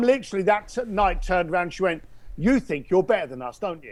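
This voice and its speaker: Speaking with an English accent, a man uses a high pitch and lively intonation. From England. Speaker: entrepreneur and speaker. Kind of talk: interview. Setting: podcast.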